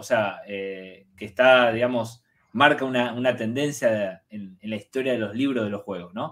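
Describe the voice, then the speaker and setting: Pitch moves up and down in an ordinary way. The delivery is fairly slow. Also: man. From Argentina. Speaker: university researcher and interview co-host; interview co-host. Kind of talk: interview. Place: home room. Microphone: video call.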